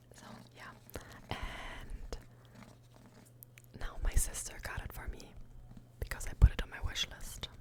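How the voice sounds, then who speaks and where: Over noticeable background noise, a woman whispers at a fairly slow pace, pausing long and often while her loudness swings widely. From Germany. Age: 20s. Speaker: ASMR creator. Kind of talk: ASMR whisper ramble about books. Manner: whispered, soft-spoken.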